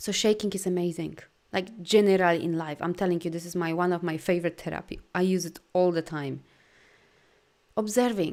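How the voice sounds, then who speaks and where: Speaking at a fairly quick pace in a very clean recording with a silent background, a woman with a Polish accent sounds animated at a fairly low pitch. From Poland. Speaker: life coach and energy healer. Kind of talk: live video talk to viewers. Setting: live stream with viewer comments.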